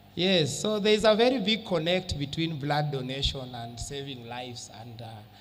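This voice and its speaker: A man's fairly high-pitched voice with lively intonation at a moderate pace, plus audible room echo and noticeable background noise. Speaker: health official. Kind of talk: motivational speech to an audience. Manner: animated.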